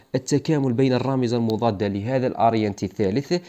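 A man speaks with an Algerian accent against a quiet background. His tone is dark and mellow. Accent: Algerian Arabic (Darja). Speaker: biology teacher. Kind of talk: lecture. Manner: repetitive, emphatic.

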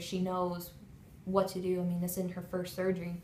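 A woman speaks at a moderate pace in a medium pitch, with light background noise and audible room echo. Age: 20s. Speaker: patient. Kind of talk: testimony. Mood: emotional, grateful. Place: office. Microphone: phone near.

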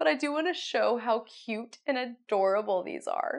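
A woman with a fairly high pitch speaks at a moderate pace, using lively intonation and vocal fry.

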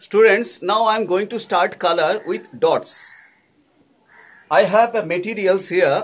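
A man talks in a high-pitched voice with ordinary pitch variation. His pace is very slow. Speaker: art teacher. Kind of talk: tutorial. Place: home room. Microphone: phone near.

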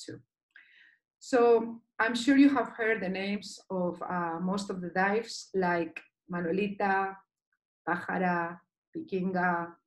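A woman speaks with a Basque accent at a medium pitch. Her pitch varies in an ordinary way against a quiet background. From Basque Country, Spain. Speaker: dive instructor and liveaboard cruise director. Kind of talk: online presentation. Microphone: video call.

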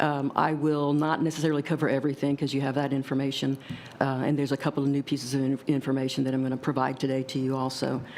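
A woman's very deep, low voice at a very fast pace, with monotone, flat intonation and very even loudness. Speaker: government budget analyst. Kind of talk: formal presentation. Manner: soft-spoken.

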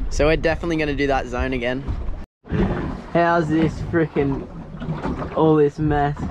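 A man speaks at a moderate pace in a fairly high pitch, his intonation fairly even, with faint background noise.

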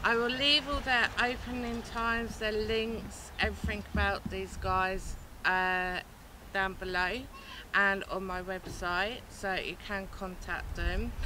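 A woman speaks at a very slow pace with a bright, sharp tone. The sound is dry with no echo, though background noise is noticeable. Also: ordinary pitch variation. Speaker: travel vlogger. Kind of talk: casual vlog chat. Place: station. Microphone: camera far.

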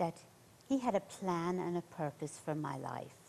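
A fairly low-pitched woman's voice with an Irish accent, at a fairly slow pace. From central Ireland. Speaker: nurse, missionary; interview guest. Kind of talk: interview, personal testimony. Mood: earnest testimony. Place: studio.

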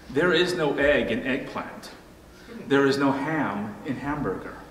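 At a moderate pace, a man speaks with audible room echo and light background noise. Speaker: pastor. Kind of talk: sermon. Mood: light humorous wordplay. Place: church.

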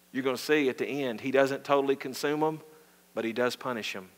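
Here a man speaks with a Southern US accent. His pace is fairly quick, with ordinary pitch variation. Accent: Southern American. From US South. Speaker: pastor. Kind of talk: sermon. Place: church.

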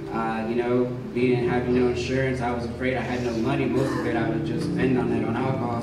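Man with an American accent at a fairly quick pace, with audible room echo and loud background noise. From Texas, Dallas. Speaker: addiction recovery program resident. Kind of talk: testimony. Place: church.

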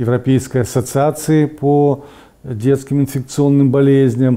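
At a very slow pace, a man speaks in a dark, mellow tone at medium pitch. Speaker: medical expert. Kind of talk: interview. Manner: halting.

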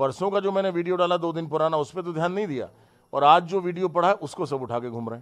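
An animated delivery at a fairly quick pace, with ordinary pitch variation and big swings in loudness. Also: man, high pitch for a man. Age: 50s. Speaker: politician. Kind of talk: heated statement to the press. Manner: animated, indignant. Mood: defensive, indignant. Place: home room. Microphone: handheld.

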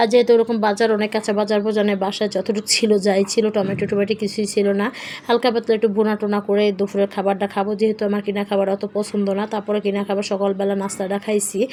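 A woman in monotone, flat intonation over noticeable background noise. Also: medium pitch for a woman. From rural Bangladesh. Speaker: vlogger. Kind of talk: casual vlog narration. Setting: in a car.

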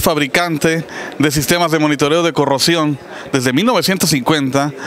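A man speaks at a moderate pace with ordinary pitch variation, the sound dry with no echo and light background noise behind him. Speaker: company sales manager. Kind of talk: interview answer. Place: hall. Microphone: handheld.

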